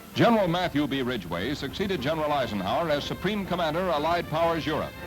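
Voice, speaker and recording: Music plays behind a man with a fairly high pitch and lively intonation. He talks at a very fast pace. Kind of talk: vintage newsreel narration.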